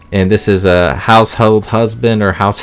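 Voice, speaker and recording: A man's fairly low voice, fairly even in intonation, with music playing in the background. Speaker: manga collector youtuber. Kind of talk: casual unboxing haul video. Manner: fast.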